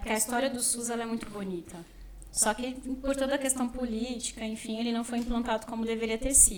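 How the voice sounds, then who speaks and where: High-pitched woman's voice over noticeable background noise. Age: 20s. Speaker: social work student. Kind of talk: casual interview.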